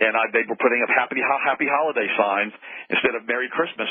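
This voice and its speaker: A man's very fast speech, ordinary pitch variation, noticeable background noise. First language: German. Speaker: radio show host. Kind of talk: call-in radio talk.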